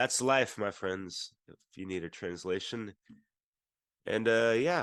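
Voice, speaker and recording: A man with a fairly low voice speaks at a very slow pace, his pitch varying in an ordinary way and his loudness swinging widely over a quiet background. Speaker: podcast co-host. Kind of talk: casual discussion.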